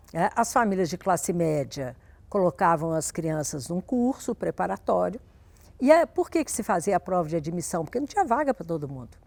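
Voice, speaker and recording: Very wide pitch swings and big jumps in loudness at a moderate pace, with a dry, close sound free of echo on a very clean recording over a silent background. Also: woman, fairly low pitch for a woman. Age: 60s. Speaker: education specialist. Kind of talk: interview.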